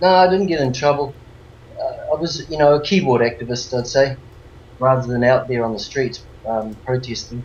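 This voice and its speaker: There is noticeable background noise as a man speaks. His pitch is medium and his pace moderate. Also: ordinary pitch variation. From New Zealand. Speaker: crypto project developer. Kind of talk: interview. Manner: hesitant, many fillers.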